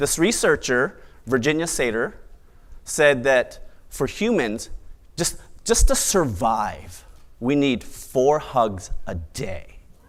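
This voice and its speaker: Long, frequent pauses break up a man's speech at a very slow pace. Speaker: event emcee. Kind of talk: live talk to an audience. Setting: live event hall. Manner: upbeat, playful.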